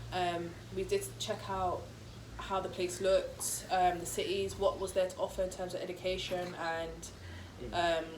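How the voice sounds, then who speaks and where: A woman speaks over noticeable background noise. Her voice carries an audible room echo. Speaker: vlogger. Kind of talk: casual chat. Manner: fast.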